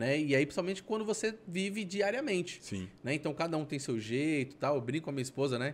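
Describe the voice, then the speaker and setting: Barely pausing, a man talks in a fairly high voice with very wide pitch swings. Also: fairly quick pace. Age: 30s. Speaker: podcast host. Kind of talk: casual interview. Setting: studio. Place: studio. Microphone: studio mic.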